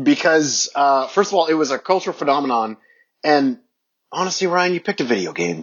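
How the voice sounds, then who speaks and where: A man's fairly high, normal speaking voice, fairly quick, with lively intonation. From Ontario, Canada.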